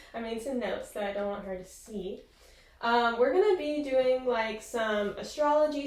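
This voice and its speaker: A woman speaks in a high voice with ordinary pitch variation over noticeable background noise. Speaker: podcast co-host. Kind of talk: casual chat. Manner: soft-spoken.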